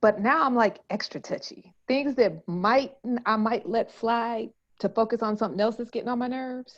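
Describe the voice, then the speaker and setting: Using an unremarkable speaking voice, a woman with a fairly high pitch and ordinary pitch variation talks at a moderate pace. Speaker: podcast co-host. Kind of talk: casual chat.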